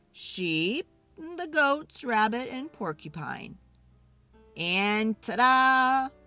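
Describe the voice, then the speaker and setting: A female-sounding voice puts on a character voice, high-pitched, raised and projected. It moves at a very slow pace, with faint music in the background. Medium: read story.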